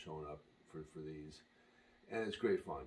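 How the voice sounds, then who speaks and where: A quiet man's very deep, low voice. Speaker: pickleball player and brand advocate. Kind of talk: unboxing video. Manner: quiet, hushed.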